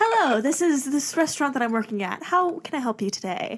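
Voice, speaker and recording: In a put-on character voice, a woman speaks with a high pitch and a sing-song lilt. Her pace is fairly quick. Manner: sing-songy, perky.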